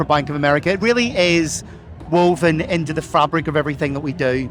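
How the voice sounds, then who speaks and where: Someone speaks with an Irish accent over noticeable background noise. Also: man. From Ireland. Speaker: corporate regional lead. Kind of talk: interview.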